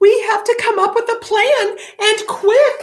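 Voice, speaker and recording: Putting on a squeaky character voice, a woman speaks at an extremely high pitch, fairly slowly, with fairly even intonation. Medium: read story.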